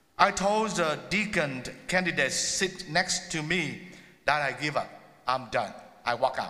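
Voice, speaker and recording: Speaking fairly slowly with ordinary pitch variation, a man uses a high pitch and a bright, sharp tone. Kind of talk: sermon. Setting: church.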